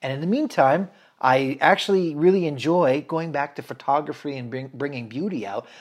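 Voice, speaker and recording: In a very clean recording with a silent background, a man with an American accent uses a plain, everyday voice, fairly high in pitch with ordinary pitch variation. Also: moderate pace. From central Washington State, US. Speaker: photographer, videographer and musician. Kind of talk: casual interview chat.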